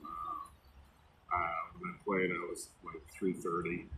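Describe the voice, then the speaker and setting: A man with an American accent at a very slow pace, amid noticeable background noise. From US Midwest, northern Illinois. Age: 60s. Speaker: storyteller sharing life story. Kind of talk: personal life story monologue. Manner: casual, hesitant with fillers.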